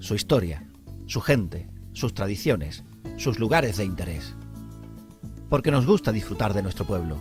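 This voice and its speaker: A man with a fairly low voice speaks with lively intonation and long, frequent pauses while music plays in the background. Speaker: local TV presenter. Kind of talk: TV show introduction.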